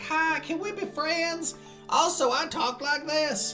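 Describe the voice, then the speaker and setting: Over clear music in the background, a high-pitched put-on character voice with a Southern US accent goes at a fairly slow pace. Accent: exaggerated Southern. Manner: friendly.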